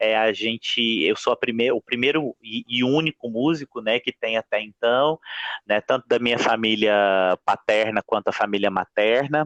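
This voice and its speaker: This is an unremarkable speaking voice at a moderate pace. It has ordinary pitch variation and very even loudness. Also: man, medium pitch for a man. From Minas Gerais, Brazil. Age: 20s. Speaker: music professor and singer. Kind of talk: podcast interview.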